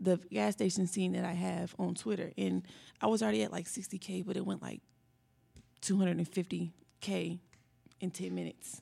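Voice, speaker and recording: Speaking at a fairly quick pace, a woman has an American accent. She leaves long, frequent pauses. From Indianapolis, Indiana. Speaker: rap artist. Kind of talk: interview.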